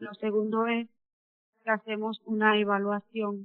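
A woman with a medium-pitched voice talks fairly slowly. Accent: Dominican. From Dominican Republic. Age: 30s. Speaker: mine welder. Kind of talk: personal testimony.

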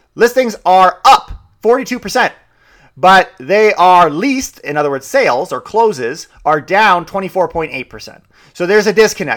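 This man speaks in a high pitch with an energetic, upbeat tone. His voice swings very widely in pitch. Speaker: real estate broker and podcast host. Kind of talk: solo podcast monologue about market news. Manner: fast talker.

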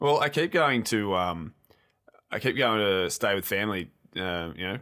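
A man with an Australian accent speaks at a fairly low pitch with a bright, sharp tone. The recording is very clean, with a silent background. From Australia, Geelong area. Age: 20s. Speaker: video game podcast co-host. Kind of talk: casual chat.

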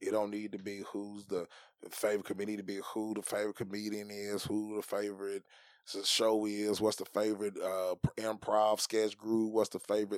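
A man with a Southern US accent talks at a fairly quick pace in a very clean recording with a silent background. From Tennessee. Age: 30s. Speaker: stand-up comedian. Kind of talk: casual chat.

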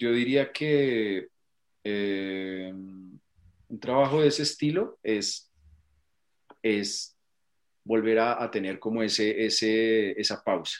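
A man with a medium-pitched voice speaks very slowly, leaving long, frequent pauses. His pitch varies in an ordinary way, and the recording is very clean with a silent background. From Colombia. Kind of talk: interview.

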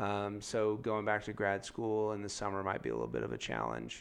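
Speaking in a normal speaking voice with an American accent, a man talks at a moderate pace with a fairly low pitch and ordinary pitch variation. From San Diego, California. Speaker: school principal. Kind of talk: casual interview.

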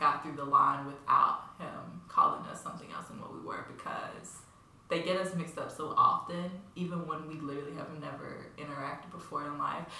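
A woman's moderate pace comes through noticeable background noise. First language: not English. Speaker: college student podcast host. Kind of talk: casual chat. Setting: home studio.

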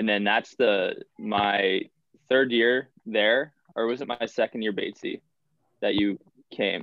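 In a Canadian prairie accent, a man talks at a fairly slow pace with fairly even intonation and long, frequent pauses. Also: medium pitch for a man. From Canada, Manitoba. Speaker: college hockey player and social media creator. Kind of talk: casual chat.

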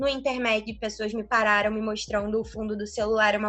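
A woman speaks at a fairly quick pace in a bright, sharp tone. Her pitch sits fairly high. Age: 20s. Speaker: medical student and digital influencer. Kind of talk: casual interview.

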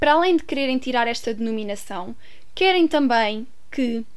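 A high-pitched woman with a European Portuguese accent, lively intonation and a moderate pace, plus audible room echo. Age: 20s. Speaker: podcast host. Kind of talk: solo commentary. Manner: hesitant, many fillers.

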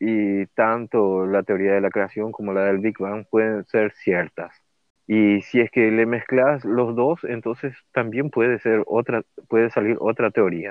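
A fairly slow, fairly low-pitched man's voice with fairly even intonation. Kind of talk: interview with storytelling. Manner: hesitant with filler sounds.

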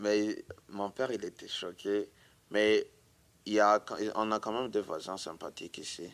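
Fairly low-pitched, a man speaks at a fairly slow pace. His intonation stays fairly even. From Burundi. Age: 20s. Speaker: immigrant witness. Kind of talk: testimony.

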